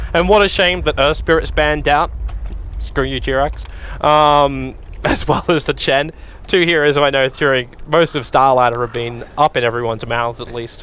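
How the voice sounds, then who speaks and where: A man at a fairly high pitch, with ordinary pitch variation and a moderate pace. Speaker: esports commentator. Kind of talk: live commentary. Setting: studio. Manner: loud.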